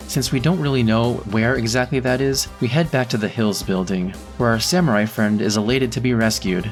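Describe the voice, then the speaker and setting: Music plays behind a man talking at a fairly quick pace and a medium pitch. His intonation is lively and his loudness very even. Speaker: gaming commentator. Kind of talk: game plot commentary.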